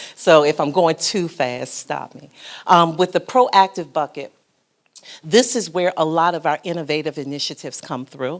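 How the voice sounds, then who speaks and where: In an ordinary speaking voice, a woman talks at a moderate pace with a fairly low pitch and ordinary pitch variation. Her loudness swings widely. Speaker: foundation program officer and social worker. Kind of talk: panel presentation. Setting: conference breakout session.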